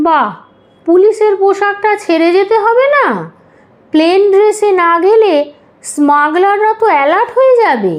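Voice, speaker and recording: A woman's put-on character voice, extremely high in pitch, fairly slow, and very even in loudness. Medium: read story. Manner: excitable, flustered.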